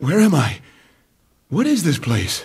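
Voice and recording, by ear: Putting on a cartoonish character voice, a man speaks at a slow pace, his fairly high pitch making very wide swings over vocal fry. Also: slightly mellow tone.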